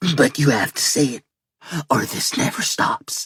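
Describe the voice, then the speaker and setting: Putting on a guttural character voice, a man speaks at a fairly high pitch. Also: moderate pace. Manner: cold, insisting.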